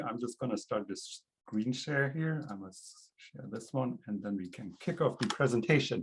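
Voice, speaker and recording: A somewhat breathy man talks with lively intonation and hardly any pauses, his loudness swinging widely. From Germany (Augsburg, Bavaria). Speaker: PhD candidate in political science. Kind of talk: academic presentation.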